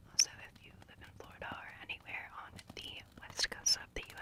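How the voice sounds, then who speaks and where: A woman whispers in a breathy voice over noticeable background noise. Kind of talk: casual ASMR chat to viewers. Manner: whispered.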